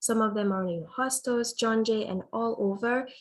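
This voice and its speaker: Her voice is somewhat breathy and fairly high for a woman, with ordinary pitch variation at a moderate pace. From Guinea, West Africa. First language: French (also Fulani). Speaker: student government nominee. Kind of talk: nomination speech.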